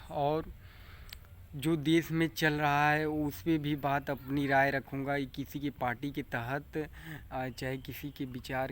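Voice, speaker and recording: Captured in a very clean recording with a silent background, a man speaks at a fairly high pitch. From Bhojpuri-speaking region of north India. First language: Bhojpuri (speaking Hindi). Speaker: farmer and vlogger. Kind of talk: casual vlog monologue. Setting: outdoors by paddy field. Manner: halting.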